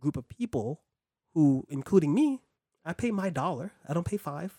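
The man's voice has a dark, mellow tone, heard in a dry, close sound with no echo. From New York City (Harlem, Brooklyn, Bronx). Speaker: producer, podcaster and writer. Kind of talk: casual chat. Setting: in person, same room.

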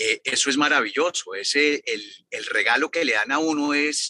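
Fairly high-pitched and bright, sharp in tone, a man's voice comes through dry and close with no echo. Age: 50s. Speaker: foundation director. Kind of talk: interview.

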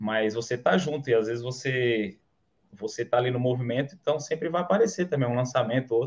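A man with an unremarkable speaking voice talks at a fairly quick pace, medium in pitch with ordinary pitch variation. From Bahia, Brazil (interior, Canarana). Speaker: affiliate marketer, electrical engineer. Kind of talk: casual interview, livestream.

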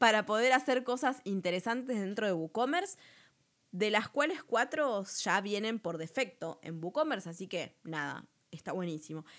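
Speaking at a fairly slow pace with a Rioplatense accent, a woman's voice moves in very wide pitch swings. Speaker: podcast host, web business coach. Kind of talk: tutorial. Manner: casual, chatty.

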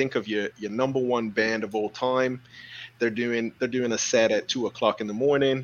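Speaking at a moderate pace, a man with an unremarkable speaking voice keeps a medium pitch and fairly even intonation. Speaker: live stream host. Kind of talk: casual live chat. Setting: live stream.

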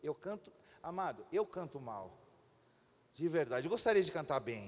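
A man with a high pitch. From Chile. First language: Spanish (speaking Portuguese). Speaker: pastor. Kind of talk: sermon. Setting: church.

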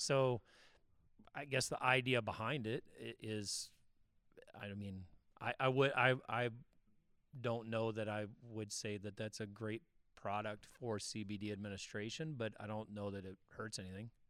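A man with a fairly low pitch talks at a moderate pace in fairly even intonation, broken by long, frequent pauses. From Missouri. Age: 50s. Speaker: podcast co-host, CBD specialist, army veteran. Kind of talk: casual chat.

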